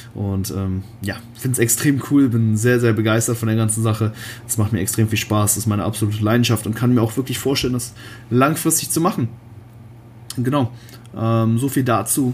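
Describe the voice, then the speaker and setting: Rather brisk, mostly level speech keeps stopping for long, frequent pauses. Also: man, medium pitch for a man. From Germany, Cologne. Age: 20s. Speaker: bodybuilder and online fitness coach. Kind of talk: solo podcast monologue. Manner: casual, many filler words.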